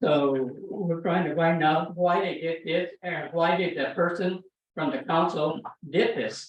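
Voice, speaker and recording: The speaker talks at a fairly slow pace with an American accent. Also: man, high pitch for a man, ordinary pitch variation. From California, Salinas Valley. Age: 80s+. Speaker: public commenter. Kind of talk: public comment at council meeting. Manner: halting.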